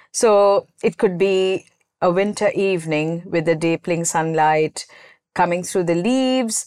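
A woman with an unremarkable speaking voice talks at a fairly slow pace, with fairly low pitch, ordinary pitch variation and very even loudness. The sound is dry and close with no echo, on a very clean recording with a silent background. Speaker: composer. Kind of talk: casual interview.

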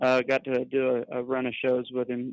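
With a Texan accent, a man speaks at a moderate pace and medium pitch in a dry, close sound with no echo. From Texas, San Angelo. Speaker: country singer. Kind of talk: interview. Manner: halting.

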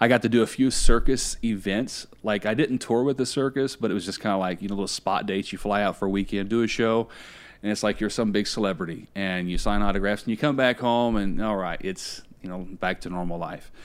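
A plain, everyday voice moves at a fairly quick pace with fairly even intonation on a very clean recording with a silent background. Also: man, fairly low pitch for a man. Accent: American. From Indiana, US Midwest. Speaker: motivational speaker and author. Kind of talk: interview.

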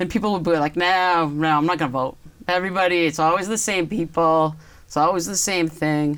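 A woman with an American accent talks at a fairly quick pace in an ordinary speaking voice, fairly low in pitch with fairly even intonation, in a very clean recording, silent background. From Massachusetts, Lexington. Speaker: town councillor. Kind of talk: interview.

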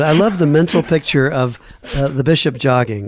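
At a moderate pace, a man speaks in a normal speaking voice with a medium pitch and ordinary pitch variation. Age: 50s. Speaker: physician radio co-host. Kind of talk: radio interview.

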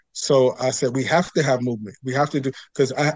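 Talking at a very fast pace, a man with a New York accent has a fairly high pitch. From New York City (Queens). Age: 40s. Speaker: pastor and mindfulness teacher. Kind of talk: interview conversation.

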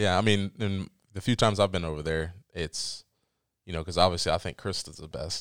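A man's very deep, low voice at a fairly quick pace, with big swings in loudness, in a very clean recording over a silent background. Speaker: podcast host. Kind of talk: casual interview. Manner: hesitant, many fillers.

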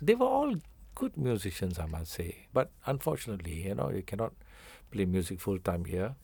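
A man's fairly low, somewhat breathy voice with a dark, mellow tone and lively intonation, at a fairly quick pace, on a very clean recording with a silent background. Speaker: musician. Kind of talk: interview.

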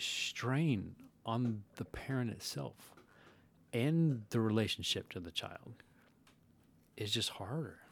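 A man at a very slow pace, with lively intonation and long, frequent pauses. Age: 40s. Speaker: podcast guest. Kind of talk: casual chat.

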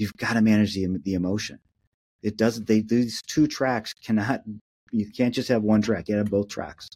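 With an American accent, the speaker has a dark, mellow tone and fairly even intonation at a moderate pace. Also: man, fairly low pitch for a man. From Minneapolis, Minnesota. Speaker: crisis communications consultant. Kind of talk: interview.

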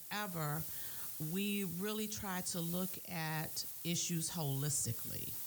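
This woman has a normal speaking voice, speaking fairly slowly at a fairly low pitch with ordinary pitch variation. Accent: American. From Maryland, Prince George's County. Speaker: county council member. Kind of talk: radio interview. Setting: studio.

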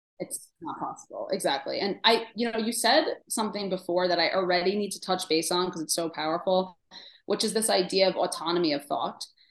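A woman at a fairly quick pace, with a New York accent. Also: medium pitch for a woman, ordinary pitch variation. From New York City, Queens. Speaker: dietitian. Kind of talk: casual chat. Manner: animated.

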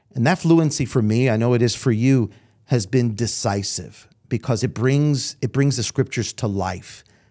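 Heard in a very clean recording with a silent background, a man with an unremarkable speaking voice and an American accent talks at medium pitch with ordinary pitch variation. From New York, Brooklyn. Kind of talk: interview conversation. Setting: studio.

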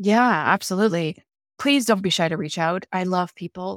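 With a Canadian accent and a normal speaking voice, a woman with fairly low pitch talks at a moderate pace in a very clean recording with a silent background and a dry, close sound free of echo. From Canada. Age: 40s. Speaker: author and leadership advisor. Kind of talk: interview conversation.

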